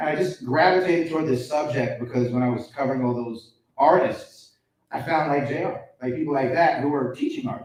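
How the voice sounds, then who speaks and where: Speaking with a New York accent, a man uses a fairly high voice. His pace is fairly quick, with ordinary pitch variation. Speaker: hip hop podcaster and journalist. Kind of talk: live panel interview. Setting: stage with live audience. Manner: loud; fast.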